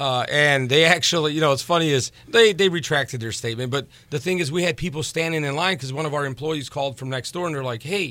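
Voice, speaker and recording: Someone speaks at a very fast pace with ordinary pitch variation, in a very clean recording with a silent background. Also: man. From Crown Point, Indiana. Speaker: home builder and restaurant owner. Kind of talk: casual chat.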